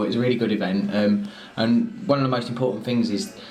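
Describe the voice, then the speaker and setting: A man in a southern English accent talks at a very fast pace, with audible room echo and noticeable background noise. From southern England. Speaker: arts organizer. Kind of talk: documentary interview. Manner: animated.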